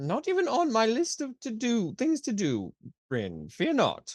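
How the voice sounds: Speaking at a fairly slow pace, a woman with a fairly high, slightly mellow voice makes very wide pitch swings.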